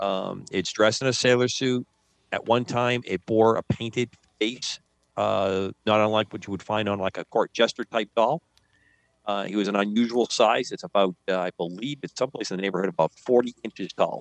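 With a normal speaking voice, a man talks at a moderate pace and a fairly low pitch, his intonation fairly even, in a dry, close sound with no echo. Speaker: radio show co-host. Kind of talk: casual chat.

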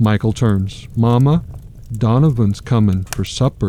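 The speaker is reading aloud in a natural voice. Pitch variation is ordinary.

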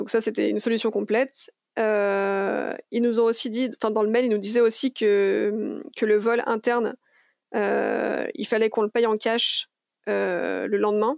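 Her pitch is fairly high and her intonation monotone and flat. The woman speaks at a fairly slow pace with a dry, close sound and no echo. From France, Lyon. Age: 30s. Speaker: traveller. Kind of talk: interview.

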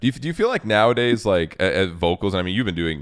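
A man's very deep, low voice. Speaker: livestream host. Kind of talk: casual interview chat. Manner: casual, profane, enthusiastic.

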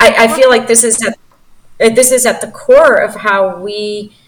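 A normal speaking voice from a woman with a fairly high pitch, lively intonation and a fairly slow pace. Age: 50s. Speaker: investment company founder. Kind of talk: interview. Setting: video call.

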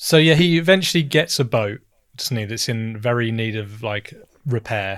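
On a very clean recording with a silent background, a man with an unremarkable speaking voice talks at a moderate pace in a medium pitch with lively intonation. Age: 30s. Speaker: podcast co-host. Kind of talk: casual chat.

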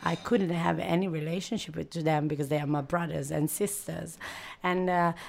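With an East African accent, a woman speaks at a fairly low pitch with fairly even intonation. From Italy (Milan), Eritrean heritage. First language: not English. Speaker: podcast interviewer. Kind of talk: casual conversation. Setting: bookshop bistro. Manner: halting.

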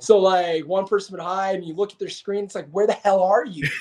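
A man with a high-pitched voice and a Canadian accent. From Alberta, Canada. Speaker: professional wrestler. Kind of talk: casual chat.

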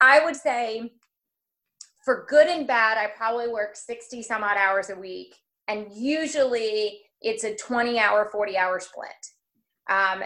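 The voice has an energetic, bright, sharp tone and ordinary pitch variation. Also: woman. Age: 30s. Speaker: wedding planner and bridal shop owner. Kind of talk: interview.

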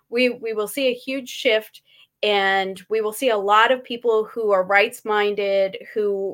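A woman with an unremarkable speaking voice talks at a fairly slow pace, her pitch fairly high and her intonation fairly even. The recording is very clean, the background silent. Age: 40s. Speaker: gun rights activist. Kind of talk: casual chat.

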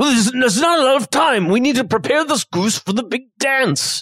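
At a moderate pace, a man does a put-on character voice pitched extremely high. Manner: urgent, comic.

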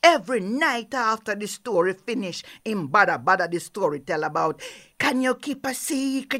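A woman with a Jamaican accent, a fairly high pitch and very wide pitch swings, animated and playful, bright and sharp in tone, in a very clean recording with a silent background. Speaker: storyteller. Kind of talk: oral storytelling, folktale performance with call-and-response opening.

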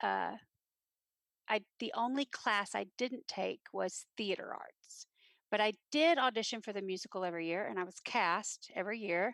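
With a Texan accent, a woman speaks at a fairly slow pace and fairly high pitch, her tone bright and sharp with ordinary pitch variation. The recording is very clean, with a silent background and a dry, close sound with no echo. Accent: Texan American. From Texas, Granbury. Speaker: theater teacher. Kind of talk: interview.

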